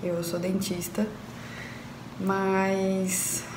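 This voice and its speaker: Flat, monotone intonation comes through noticeable background noise and audible room echo. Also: woman. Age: 20s. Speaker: dentist, singing student. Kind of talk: testimony.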